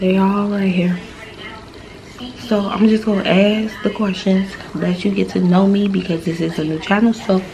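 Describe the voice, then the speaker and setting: At a moderate pace and medium pitch, a woman speaks in a monotone, flat intonation with long, frequent pauses and noticeable background noise. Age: 20s. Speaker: vlogger, stay-at-home mom. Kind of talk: casual vlog Q&A.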